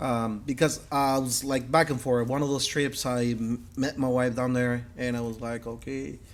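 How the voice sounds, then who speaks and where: A man with a Mexican accent speaks at a medium pitch and a moderate pace. He uses fairly even intonation and hardly any pauses. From Mexico. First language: Spanish. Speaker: metal artist and business owner. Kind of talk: interview conversation. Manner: halting, many fillers and repetitions.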